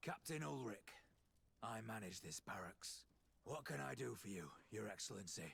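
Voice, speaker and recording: A raspy, put-on character voice from a man, fairly low in pitch, at a moderate pace, with very even loudness, very wide pitch swings and long, frequent pauses. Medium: video game. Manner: formal, courteous.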